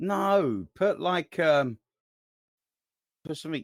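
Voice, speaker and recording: In a London accent, a man speaks with a dry, close sound and no echo. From England, Southwest London. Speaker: podcast co-host. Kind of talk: casual chat. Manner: calm.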